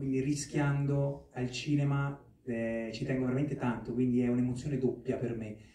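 A man talks at a moderate pace in a monotone, flat intonation, with audible room echo. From Marche, Italy. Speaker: actor and film producer; actor. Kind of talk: press conference. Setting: press conference hall with microphone. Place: hall.

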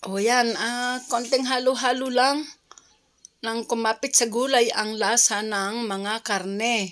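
A woman's fairly high voice, with fairly even intonation, unfolds very slowly. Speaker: cooking vlogger. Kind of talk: cooking tutorial.

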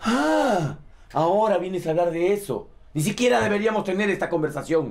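A man is speaking. His pace is moderate. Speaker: actor playing an angry minister. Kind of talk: scripted drama dialogue. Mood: angry, scolding. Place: office.

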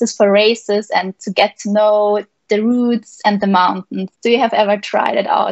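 A woman with a fairly high voice speaks at a moderate pace. The sound is dry with no echo over a quiet background. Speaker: paragliding pilot and interviewer. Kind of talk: live interview. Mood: cheerful, smiling. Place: home room. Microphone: video call.

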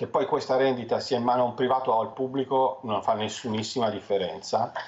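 Very fast pace with fairly even intonation. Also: man. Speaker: financial commentator. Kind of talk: TV interview. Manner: halting. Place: home room. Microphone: headset.

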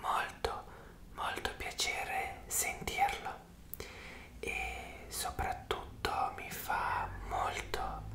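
A man whispers at a very slow pace. Long pauses come often. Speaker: ASMR creator. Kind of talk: ASMR roleplay. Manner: whispered, soft. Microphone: earbuds.

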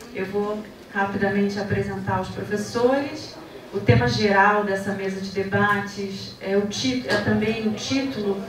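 A woman talks at a fairly slow pace. There is audible room echo and noticeable background noise. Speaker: debate moderator, student. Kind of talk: moderating, introductions. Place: classroom.

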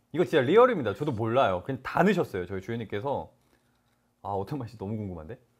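A man speaks very fast in an animated tone, with very wide pitch swings and big swings in loudness. The background is quiet. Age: young. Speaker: live commerce shopping host. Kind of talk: live shopping broadcast. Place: studio. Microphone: lapel.

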